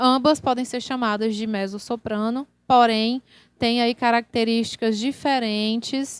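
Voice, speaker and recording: A woman speaks with fairly high pitch. Her intonation stays fairly even. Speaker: singer-songwriter and vocal workshop teacher. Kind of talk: online workshop lecture. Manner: casual, conversational with fillers.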